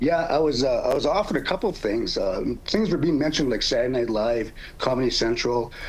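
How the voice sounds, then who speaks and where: Against noticeable background noise and audible room echo, someone talks at a fairly quick pace. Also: man. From Canada, First Nations (Cree). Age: 60s. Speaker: comedian. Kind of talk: interview. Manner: halting, many fillers and repeats.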